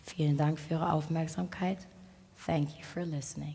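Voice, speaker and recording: Her voice very deep and low, a woman speaks at a fairly slow pace in a dark, mellow, somewhat breathy tone. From Sierra Leone. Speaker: speaker at a talk event. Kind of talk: public talk. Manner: formal.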